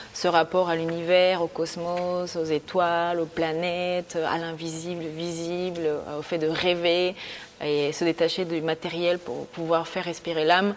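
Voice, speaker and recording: Against noticeable background noise, a woman speaks at a fairly slow pace. Her pitch is fairly low and her intonation monotone and flat. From Bolivia (Santa Cruz), moved to France at 11. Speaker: art student and painter. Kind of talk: casual interview. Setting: art studio.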